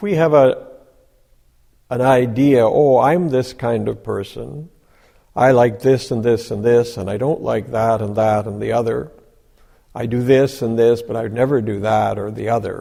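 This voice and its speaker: With a dark, mellow tone, a man speaks at a moderate pace and medium pitch, using ordinary pitch variation. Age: 60s. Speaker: Zen Buddhist teacher. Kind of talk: dharma talk. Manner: halting, many fillers.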